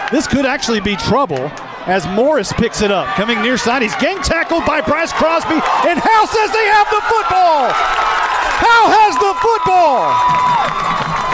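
Pitch swings very widely as a man talks at a fairly slow pace. Crowd noise runs in the background. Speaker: high school football play-by-play announcer. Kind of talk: live sports commentary.

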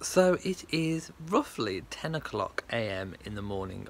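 A man speaks with a British accent. Light background noise sits behind him. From England. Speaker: vlogger. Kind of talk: casual vlog talk to camera. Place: garden. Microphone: phone near.

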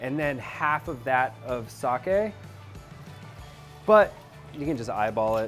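A man talks fairly slowly while music plays faintly behind him. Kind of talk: tutorial. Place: kitchen.

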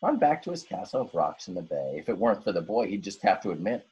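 Someone is reading a text aloud. The reading is plain.

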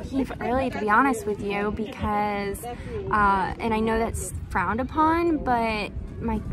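Clear music plays in the background. The sound is dry, with no echo. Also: woman. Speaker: crochet vendor vlogger. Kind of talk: casual vlog chat. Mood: worried but upbeat, laughing. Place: market. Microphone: phone near.

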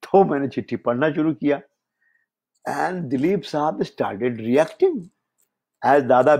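A fairly high-pitched man with lively intonation and long, frequent pauses. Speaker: screenwriter. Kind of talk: storytelling interview.

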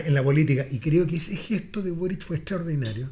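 A man with a Chilean accent talks at a fairly quick pace. His tone is dark and mellow, with ordinary pitch variation. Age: 60s. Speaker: political commentator. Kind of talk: casual chat. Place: studio. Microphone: studio mic.

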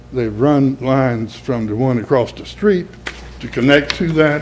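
Someone with an American accent speaks with ordinary pitch variation amid audible room echo and noticeable background noise. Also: man. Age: 70s. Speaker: resident speaking at public hearing. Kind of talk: public comment at council meeting. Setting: city council chamber.

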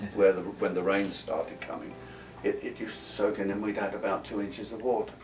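A man with a London accent talks at a very fast pace while music plays in the background. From London, England. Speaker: war veteran. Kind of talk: interview answer. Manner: hesitant, anecdotal. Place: home room.

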